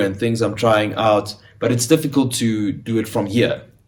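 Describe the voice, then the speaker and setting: With a South African accent, a man talks at a fairly slow pace, his medium pitch showing ordinary variation. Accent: South African Afrikaans. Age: 20s. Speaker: actor. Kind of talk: casual chat.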